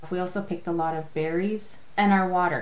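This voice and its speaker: The voice holds fairly even intonation, with noticeable background noise in the recording. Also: woman. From Canadian boreal forest. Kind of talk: testimony.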